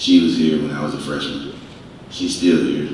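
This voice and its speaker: The speaker has a Southern US accent and talks at a fairly quick pace. Noticeable background noise and audible room echo come through. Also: man. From US South. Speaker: panelist, university alumnus. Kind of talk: panel discussion.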